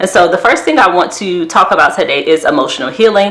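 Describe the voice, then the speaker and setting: A woman with a Southern US accent talks at a very fast pace with lively intonation, amid audible room echo and noticeable background noise. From US South. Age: 30s. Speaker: therapist and wellness vlogger. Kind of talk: casual vlog talk to camera.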